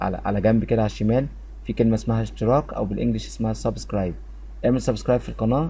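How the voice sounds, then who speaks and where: Echo from the room is audible. Through it, a man speaks fairly briskly. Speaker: English grammar teacher. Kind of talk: lecture; casual appeal to viewers.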